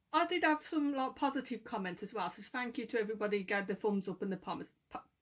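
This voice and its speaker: In a Birmingham accent, a woman speaks with very wide pitch swings on a very clean recording with a silent background. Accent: Brummie. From Birmingham, England. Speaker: part-time eBay reseller and YouTuber. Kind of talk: casual vlog chat. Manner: rambling, chatty.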